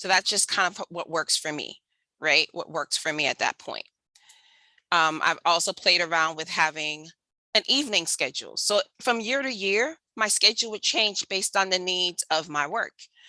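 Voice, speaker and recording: Recorded dry and close with no echo, a woman with an American accent speaks at medium pitch in a bright, sharp tone with lively intonation. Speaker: homeschooling mom and math educator. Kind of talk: webinar presentation. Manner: fast.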